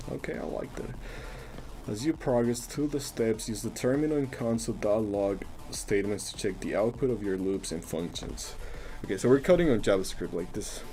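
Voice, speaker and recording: Over music in the background, a man speaks fairly quickly at a medium pitch with ordinary pitch variation. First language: Spanish. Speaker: coding live streamer. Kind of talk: live coding stream, casual. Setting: live stream. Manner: casual, halting with repetitions.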